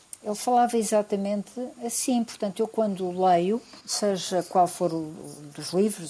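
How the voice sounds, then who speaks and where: Lively in intonation, a woman speaks with a dark, mellow tone at fairly high pitch. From Portugal, Lisbon. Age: 70s. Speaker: biologist and writer. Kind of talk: radio interview.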